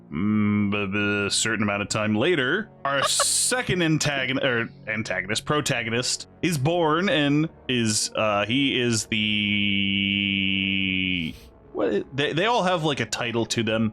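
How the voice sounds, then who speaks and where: Over music in the background, a man at medium pitch speaks at a very slow pace with lively intonation, hardly any pauses and very even loudness. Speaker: gaming YouTuber. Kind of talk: casual lore explanation to friends. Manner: rambling, informal.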